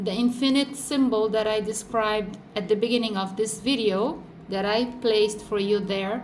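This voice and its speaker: A woman's fairly high voice with a Brazilian accent, at a moderate pace, amid noticeable background noise and audible room echo. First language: Portuguese. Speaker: tarot reader. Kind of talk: tarot reading. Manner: animated.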